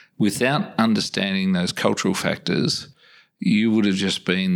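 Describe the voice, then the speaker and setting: A man with an Australian accent. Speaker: podcast host. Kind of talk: interview conversation.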